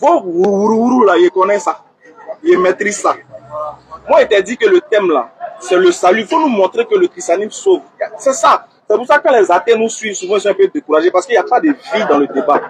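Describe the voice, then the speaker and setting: Loud, fairly quick speech with very wide pitch swings and long, frequent pauses, over noticeable background noise. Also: man, high pitch for a man. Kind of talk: heated debate.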